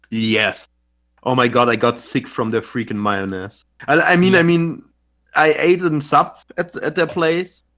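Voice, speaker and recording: Speaking slowly-ish with lively intonation, a man with a German accent has a fairly high pitch and a bright, sharp tone in a very clean recording with a silent background. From Germany. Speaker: podcast co-host. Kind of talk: casual chat. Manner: halting, repeats words.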